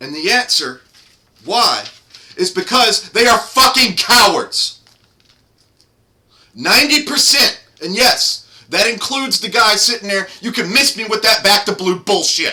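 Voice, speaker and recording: Raising and projecting his high-pitched voice, a man speaks at a fairly slow pace with lively intonation and long, frequent pauses. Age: 30s. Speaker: political commentator. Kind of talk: rant. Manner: loud; animated.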